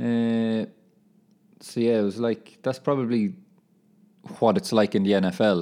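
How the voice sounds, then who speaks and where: With an Irish accent, a man talks at a moderate pace in a medium-pitched voice with a dark, mellow tone. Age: 20s. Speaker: footballer and podcaster. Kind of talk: casual monologue. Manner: animated.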